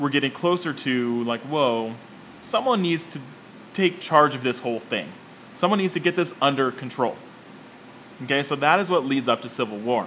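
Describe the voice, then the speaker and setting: A man at a moderate pace with ordinary pitch variation and long, frequent pauses, over light background noise. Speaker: movie commentator. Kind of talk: commentary. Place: office.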